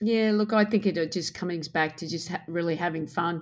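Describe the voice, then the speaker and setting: A woman with an Australian accent talks at a fairly quick pace. The recording is very clean, with a silent background. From Australia, Queensland. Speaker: basketball head coach. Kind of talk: interview.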